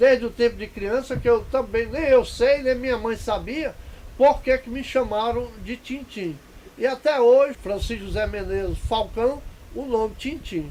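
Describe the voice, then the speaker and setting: Over noticeable background noise, a man talks at a fairly slow pace with an extremely high pitch. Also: ordinary pitch variation, big swings in loudness. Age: 70s. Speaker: elderly local resident. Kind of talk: interview testimony.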